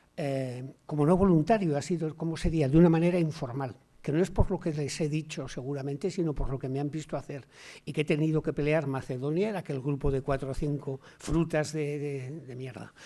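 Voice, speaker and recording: Fairly high-pitched for a man, this voice has a dark, mellow tone and fairly even intonation. He speaks at a fairly quick pace on a very clean recording with a silent background. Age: 60s. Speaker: sociologist and university lecturer. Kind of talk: Q&A discussion after a talk. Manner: halting, with many repetitions.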